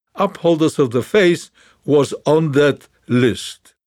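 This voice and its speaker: In a very clean recording with a silent background, a man with a normal speaking voice talks at a fairly slow pace and a fairly high pitch. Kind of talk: memoir audiobook narration, reading aloud. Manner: measured, solemn; reflective, sombre storytelling.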